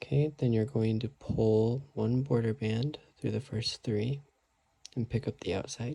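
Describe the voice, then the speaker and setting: A man's somewhat breathy, soft-spoken voice. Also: medium pitch for a man, fairly even intonation, fairly slow pace. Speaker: craft tutorial maker. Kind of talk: tutorial. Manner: quiet, soft-spoken; casual.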